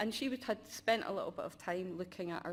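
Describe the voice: At a fairly quick pace, a woman talks with a fairly low pitch.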